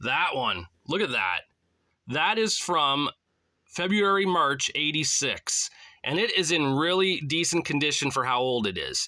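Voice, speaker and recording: On a very clean recording with a silent background, a man with a fairly high pitch and a bright, sharp tone speaks at a fairly slow pace. His loudness is very even and his intonation lively. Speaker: wrestling magazine collector and YouTuber. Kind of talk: casual show-and-tell vlog. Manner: animated.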